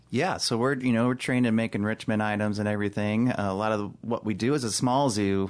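In an American accent, a man with an ordinary speaking voice talks at a fairly quick pace with fairly even intonation against a quiet background. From Chicago, US. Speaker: zookeeper supervisor. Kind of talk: casual interview.

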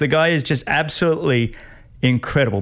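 This man has an Australian accent and a fairly high pitch. His intonation is lively. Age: 50s. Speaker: podcast host, former triathlete. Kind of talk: interview conversation. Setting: home studio.

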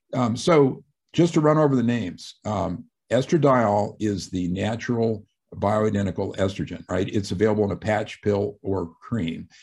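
A man with a plain, everyday voice and fairly low pitch speaks at a moderate pace with lively intonation against a quiet background. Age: 60s. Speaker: retired physician and author. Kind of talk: radio interview.

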